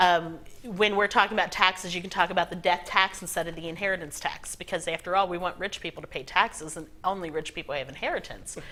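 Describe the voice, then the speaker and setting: Talking at a very fast pace, a woman with a medium-pitched, bright, sharp voice keeps her intonation fairly even while her loudness swings widely. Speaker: political grassroots trainer. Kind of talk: interview. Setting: studio.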